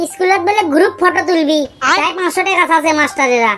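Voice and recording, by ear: Using a cartoonish character voice, a woman sounds squeaky and extremely high, keeping a moderate pace and very even loudness. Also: ordinary pitch variation.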